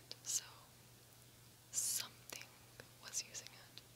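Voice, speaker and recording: A soft-spoken woman whispers at a fairly slow pace, with big swings in loudness. Noticeable background noise sits behind her. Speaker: vlogger. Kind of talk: casual vlog chat. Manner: soft ASMR whisper. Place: home room. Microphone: phone near.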